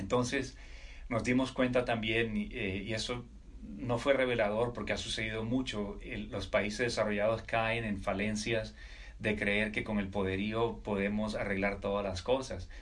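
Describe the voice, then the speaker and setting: Vocal fry from a man with a fairly low pitch, fairly even intonation and a fairly slow pace, in audible room echo. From Colombia, Caribbean coast (Riohacha, La Guajira). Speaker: military officer and entrepreneur. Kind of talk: interview conversation.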